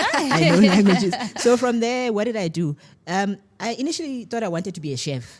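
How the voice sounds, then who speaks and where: Animated in tone, a woman with a South African accent talks at a fairly quick pace and a medium pitch, with very wide pitch swings. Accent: South African English with a polished twang. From South Africa, Eastern Cape. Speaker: TV and radio producer. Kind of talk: radio interview.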